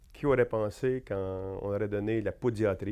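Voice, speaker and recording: Fairly even intonation and a dark, mellow tone from a male speaker. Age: 60s. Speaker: accounting professor and university administrator. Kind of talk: interview. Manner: hesitant, many fillers.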